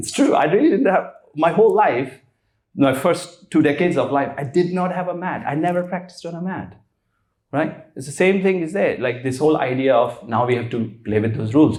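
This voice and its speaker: A fairly high-pitched man with an Indian accent, lively intonation and a fairly quick pace, with audible room echo. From India, Rishikesh. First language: Hindi. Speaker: spiritual teacher. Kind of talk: casual interview conversation.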